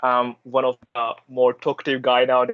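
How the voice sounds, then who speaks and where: A man's medium-pitched voice in an Indian accent, dry and close with no echo. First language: Hindi. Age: 20s. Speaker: university student and intern. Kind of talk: interview answer.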